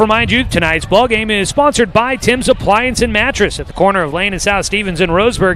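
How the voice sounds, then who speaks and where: A man's high-pitched voice at a fairly quick pace, with ordinary pitch variation and noticeable background noise. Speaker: play-by-play radio announcer. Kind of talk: live sports commentary. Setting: press box at a stadium, outdoors. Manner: fast.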